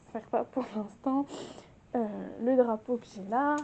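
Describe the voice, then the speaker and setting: Her pace is fairly slow. This woman's voice sits high in pitch. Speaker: lifestyle vlogger. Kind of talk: casual home tour vlog. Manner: animated.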